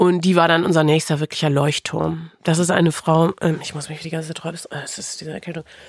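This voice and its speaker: At a very fast pace, a woman speaks in a fairly low voice with monotone, flat intonation and big swings in loudness. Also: hardly any pauses. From Lower Saxony, Osnabrück. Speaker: radio presenter. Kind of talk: personal testimony in interview. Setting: studio.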